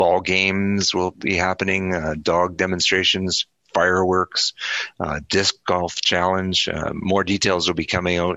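In a Canadian accent, a man with a very deep, low voice speaks at a fairly slow pace with monotone, flat intonation. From Alberta, Canada. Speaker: town mayor. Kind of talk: radio interview. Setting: phone call. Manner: hesitant, many fillers.

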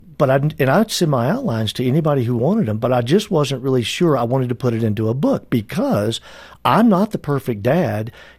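A man's voice comes through somewhat breathy. The background is silent and the recording very clean. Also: medium pitch for a man, lively intonation. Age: 60s. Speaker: author and business advisor. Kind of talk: interview.

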